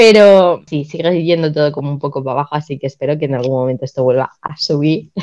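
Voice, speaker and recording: Talking very fast with hardly any pauses, a woman uses a very deep, low, dark, mellow voice with ordinary pitch variation. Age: 20s. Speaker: podcast co-host. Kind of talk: casual chat.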